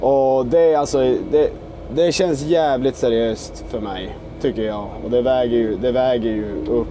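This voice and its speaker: Over music in the background, a man talks at a fairly slow pace with audible room echo. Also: medium pitch for a man, ordinary pitch variation. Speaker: excavator operator. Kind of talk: vlog narration while working.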